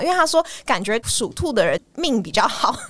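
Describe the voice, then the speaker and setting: A woman is speaking. Her pitch swings very widely. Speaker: podcast host. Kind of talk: casual chat.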